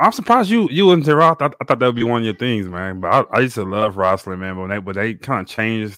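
In a normal speaking voice, a man with an American accent talks at a fairly low pitch with ordinary pitch variation and hardly any pauses, in a very clean recording with a silent background. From Texas (Beaumont). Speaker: podcast panelist. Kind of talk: casual sports chat.

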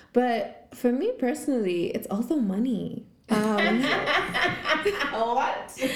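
A woman's high voice, very slow yet with hardly any pauses, lively intonation, and noticeable background noise. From Zimbabwe. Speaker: podcast host. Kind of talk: casual chat. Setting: studio.

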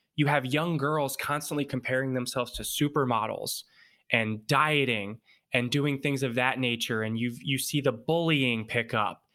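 A bright, sharp tone is paired with fairly even intonation. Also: man, medium pitch for a man, moderate pace, very clean recording, silent background. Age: 30s. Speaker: mindset coach. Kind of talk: interview.

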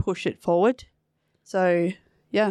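The voice has an Australian accent and moves at a fairly slow pace. The sound is dry and close, with no echo. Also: woman. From New South Wales, Australia. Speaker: para footballer. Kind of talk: casual chat.

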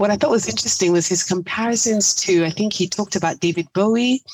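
The speech runs at a fairly quick pace with hardly any pauses, over noticeable background noise. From raised in Europe, American-born. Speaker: podcast co-host. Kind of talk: casual chat.

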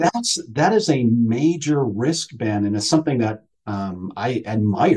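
A man with a medium-pitched, dark, mellow voice speaks with lively intonation, a somewhat breathy quality and hardly any pauses. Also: fairly slow pace. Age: 50s. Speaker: retired school superintendent, executive coach. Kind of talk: casual interview conversation.

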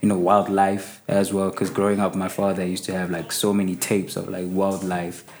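A man speaks in a fairly low pitch. His pace is fairly quick. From South Africa, Soweto. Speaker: rapper. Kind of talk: casual interview. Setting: studio.

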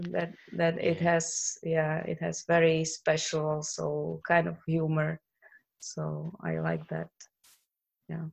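A woman speaks with a Slovak accent. Her pace is very slow. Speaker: translator. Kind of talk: casual interview chat. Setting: video call.

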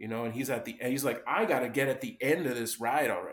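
A man speaks at a medium pitch. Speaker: entrepreneur. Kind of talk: casual chat. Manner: halting. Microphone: slightly echoey.

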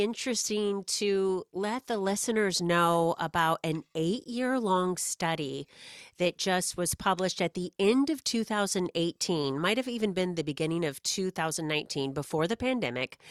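In a very clean recording with a silent background and a dry, close sound with no echo, a woman with a medium pitch speaks in an energetic tone with lively intonation at a moderate pace, hardly pausing at all. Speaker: therapist and author. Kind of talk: casual interview chat. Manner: energetic, talkative.

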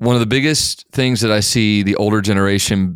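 In a very clean recording with a silent background, a man talks at a moderate pace in an ordinary speaking voice, fairly low in pitch with ordinary pitch variation. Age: 30s. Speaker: pastor. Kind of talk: casual chat. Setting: studio.

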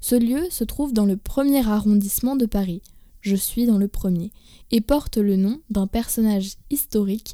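In a very clean recording with a silent background, a woman speaks at a fairly high pitch with a dark, mellow tone and ordinary pitch variation. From France. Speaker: stand-in podcast host. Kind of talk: scripted narration.

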